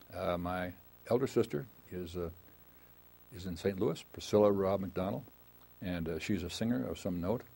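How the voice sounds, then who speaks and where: A man's very deep, low voice in an American accent, dark and mellow in tone, with long, frequent pauses. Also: ordinary pitch variation, moderate pace. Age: 80s+. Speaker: retired lawyer. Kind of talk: oral history interview. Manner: halting, many fillers.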